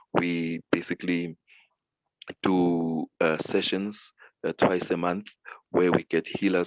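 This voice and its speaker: A man's very deep, low voice in a flat monotone, with a dry, close sound and no echo. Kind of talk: radio interview. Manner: soft-spoken; halting.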